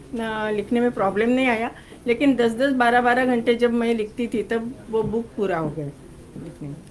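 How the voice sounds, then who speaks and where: The woman speaking has a high pitch. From Maharashtra, India (Pune). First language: Marathi (speaking Hindi). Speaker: cookbook author. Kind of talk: press interview. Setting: press conference.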